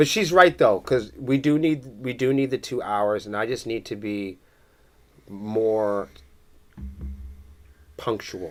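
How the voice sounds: A man with a New England accent and a fairly low pitch speaks fairly slowly, with very wide pitch swings. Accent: Massachusetts, broad New England.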